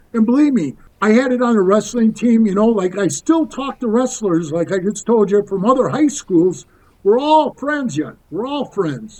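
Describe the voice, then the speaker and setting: Speaking at a moderate pace, a man with a high voice and an American accent uses lively intonation. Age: 60s. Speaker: former biker club member. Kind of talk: podcast interview storytelling. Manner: casual, conversational.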